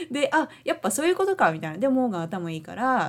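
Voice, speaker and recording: A woman is speaking. She has a Japanese accent. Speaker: podcast co-host. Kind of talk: casual chat.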